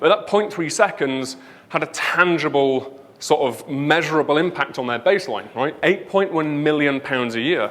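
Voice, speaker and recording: A man's fairly high voice in a northern English accent, with ordinary pitch variation and a moderate pace. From northern England, Leeds. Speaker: conference speaker, web developer. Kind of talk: conference talk. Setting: stage with audience.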